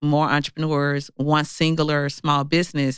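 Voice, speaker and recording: The speaker talks at a moderate pace in a Mississippi accent. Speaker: entrepreneur and author. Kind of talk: interview.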